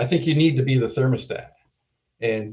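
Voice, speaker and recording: Somewhat breathy with a dark, mellow tone, a man speaks at a medium pitch with ordinary pitch variation. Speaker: keynote speaker, drug development leader. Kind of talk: keynote talk.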